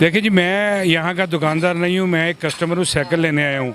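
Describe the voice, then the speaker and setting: Noticeable background noise sits behind this man's voice. His pitch is high, with ordinary variation. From Lahore, Pakistan. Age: 60s. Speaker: customer. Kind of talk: street interview. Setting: outdoors.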